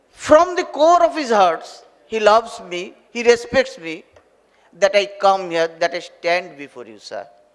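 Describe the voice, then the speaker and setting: This man's voice sits high, with very wide swings in pitch. His loudness rises and falls a lot, and he talks fairly slowly. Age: 60s. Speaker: retired university professor. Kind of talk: formal ceremonial address. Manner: halting.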